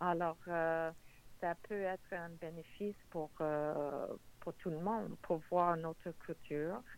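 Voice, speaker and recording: Very slowly and with fairly even intonation, a woman with a fairly low pitch speaks in an English accent. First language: English (speaking French). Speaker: borough mayor. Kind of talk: political interview.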